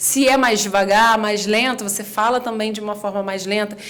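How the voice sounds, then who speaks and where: A woman speaks at a fairly high pitch. Audible room echo and noticeable background noise sit in the recording. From Rio de Janeiro, Brazil. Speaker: communication and public speaking specialist. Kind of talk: podcast interview.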